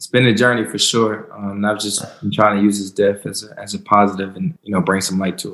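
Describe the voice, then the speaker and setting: In a plain, everyday voice, a man with an American accent speaks at a fairly low pitch and a fairly quick pace, hardly pausing at all. His intonation stays fairly even, though his loudness swings widely. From US South, North Carolina. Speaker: professional football player. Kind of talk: interview.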